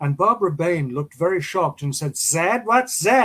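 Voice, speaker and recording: Here a man talks in a high pitch. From England. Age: 80s+. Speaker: actor. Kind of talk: interview.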